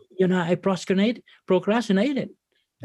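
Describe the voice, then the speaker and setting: Recorded with a dry, close sound and no echo, a man speaks at a high pitch with ordinary pitch variation. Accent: Vietnamese. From Vietnam. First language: Vietnamese. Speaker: business owner and ministry leader. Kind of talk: interview testimony.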